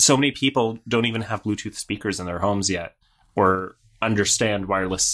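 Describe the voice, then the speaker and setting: A man with an ordinary speaking voice, fairly low in pitch, at a moderate pace with fairly even intonation. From Canada. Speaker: software company founder. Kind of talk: casual chat.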